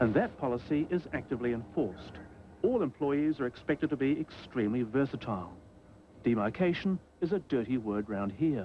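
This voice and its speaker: A man's plain, everyday voice at medium pitch, with lively intonation and a fairly quick pace. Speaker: television reporter narrating a documentary segment. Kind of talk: TV news report voiceover and interviewer.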